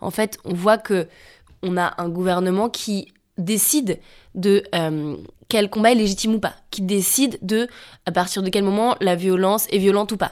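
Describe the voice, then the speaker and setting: On a very clean recording with a silent background, a woman talks at a fairly slow pace with medium pitch and fairly even intonation. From France, Savoie. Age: 20s. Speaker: climate activist. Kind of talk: interview. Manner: halting.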